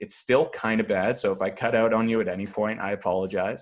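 A man with a normal speaking voice and a Canadian accent, at a moderate pace against a quiet background. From Canada, Toronto suburbs (Thornhill). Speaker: comedian and sports podcaster. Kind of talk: casual chat.

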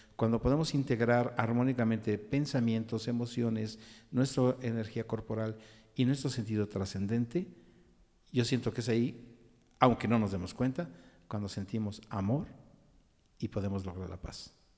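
On a very clean recording with a silent background, a man with a medium pitch and dark, mellow tone speaks at a moderate pace, using ordinary pitch variation and long, frequent pauses. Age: 60s. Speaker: podcast co-host, psychologist, songwriter. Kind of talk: casual discussion.

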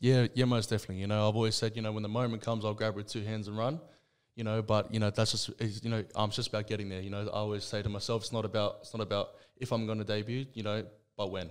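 A man speaks very fast in an Australian accent. His pitch is fairly low and his intonation is monotone and flat. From Western Sydney, Australia. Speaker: rugby league player. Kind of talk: casual interview. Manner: halting, many fillers.

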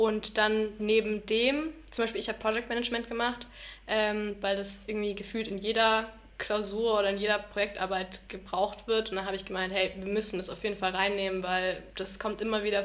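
Monotone, flat intonation marks this woman's speech. She has a medium pitch and keeps a moderate pace. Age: 20s. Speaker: university student. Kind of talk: casual chat.

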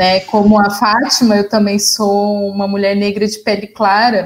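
Somewhat breathy, a woman speaks at a medium pitch and a very slow pace. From interior of São Paulo state, Brazil. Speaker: journalist and communication doctoral researcher. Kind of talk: conversational panel discussion. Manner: halting, many fillers and repetitions.

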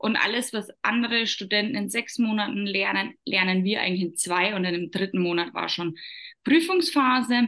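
A woman with an ordinary speaking voice talks at a medium pitch and moderate pace, using lively intonation. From Upper Palatinate, Bavaria, Germany. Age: 30s. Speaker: entrepreneur. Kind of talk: interview.

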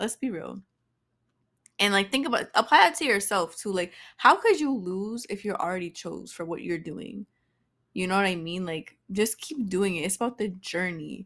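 Speaking in an American accent at a moderate pace, a woman with a plain, everyday voice and medium pitch uses lively intonation on a very clean recording with a silent background. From Boston, US. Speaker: podcast host, actress. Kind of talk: casual solo monologue. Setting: recording at home with incense. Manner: casual, filler-heavy.

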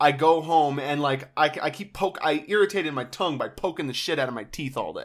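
A man with a normal speaking voice talks at a fairly quick pace with hardly any pauses, his fairly high pitch showing ordinary variation. The recording is very clean, with a silent background. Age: 20s. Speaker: podcast co-host. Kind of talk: casual chat.

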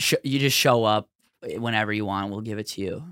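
A man at a moderate pace with ordinary pitch variation, in a dry, close sound without echo. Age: 20s. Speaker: comedian. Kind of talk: casual chat. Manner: animated, profane.

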